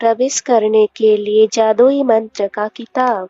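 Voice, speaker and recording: She has a normal speaking voice. The woman's pitch is fairly high. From Odisha, India. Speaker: movie recap narrator. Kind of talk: movie plot summary voiceover.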